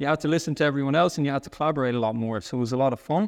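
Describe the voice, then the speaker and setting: Against a quiet background, a man talks at a very fast pace and fairly high pitch with fairly even intonation, in a dry, close sound with no echo. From Dublin, Ireland. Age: 30s. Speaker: sales leader. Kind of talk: casual interview chat.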